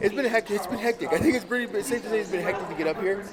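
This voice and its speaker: Over noticeable background noise, a man speaks very fast with lively intonation. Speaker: vlogger and motivational speaker. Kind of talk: casual vlog talk to camera.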